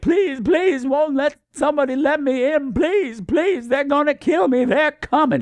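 A put-on character voice shouts at a high pitch at a moderate pace. It leaves hardly any pauses. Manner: panicked, pleading, screaming.

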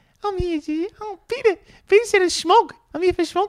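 Squeaky and extremely high in pitch, this put-on character voice with a New Zealand accent moves at a moderate pace. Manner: pretend, playful.

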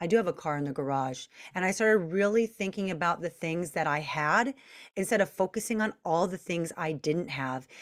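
A woman with an American accent speaks at a fairly quick pace in a fairly low pitch, a normal speaking voice, on a very clean recording with a silent background. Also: lively intonation. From Long Beach, California. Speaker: self mastery coach. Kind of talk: podcast interview.

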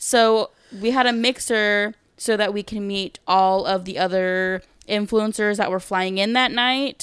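Recorded very cleanly against a silent background, a woman speaks at medium pitch, fairly slowly, with fairly even intonation. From California. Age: 30s. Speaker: podcast co-host. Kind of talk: casual chat.

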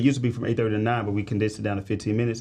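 Somewhat breathy and dark, mellow in tone, a man speaks with an American accent. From St. Louis, Missouri, US. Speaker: financial advisor. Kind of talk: casual interview chat.

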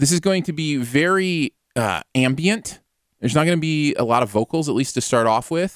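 Lively intonation marks this man's fairly high voice in an American accent, at a moderate pace. The sound is dry and close with no echo. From Michigan, US Midwest. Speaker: music podcast host. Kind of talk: casual chat. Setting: live-streamed podcast. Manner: animated.

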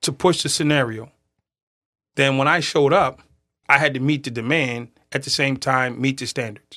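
This man has an American accent and a fairly high, bright, sharp voice with fairly even intonation. He speaks at a moderate pace with long, frequent pauses on a very clean recording with a silent background. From Boston. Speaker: prison reform advocate, former prisoner. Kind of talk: podcast interview. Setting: studio.

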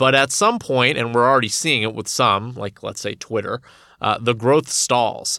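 A man speaks at a moderate pace with fairly even intonation. He has a plain, everyday voice. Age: 30s. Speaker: journalist. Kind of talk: interview.

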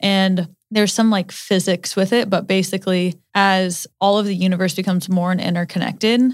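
A woman with a medium pitch speaks at a moderate pace, sounding somewhat breathy. The recording is very clean, with a silent background. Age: 20s. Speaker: podcast co-host. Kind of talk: casual chat. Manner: animated.

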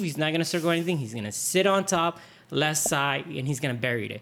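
A man in a normal speaking voice, fairly high in pitch, talks with ordinary pitch variation. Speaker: hockey podcast host. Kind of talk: casual chat.

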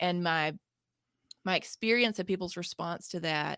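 This woman talks at a moderate pace with a Southern US accent and lively intonation. The recording is very clean, with a silent background. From US South, Mississippi. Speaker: nonprofit founder and author. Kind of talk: interview conversation.

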